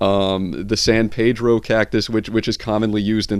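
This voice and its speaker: The speaker is a man with a fairly low pitch. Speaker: YouTube vlogger. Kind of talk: casual monologue vlog. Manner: fast; halting, many repetitions.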